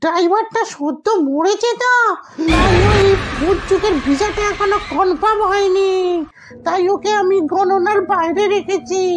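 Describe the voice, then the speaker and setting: Clear music in the background accompanies a put-on character voice at a fairly slow pace. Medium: comedy sketch.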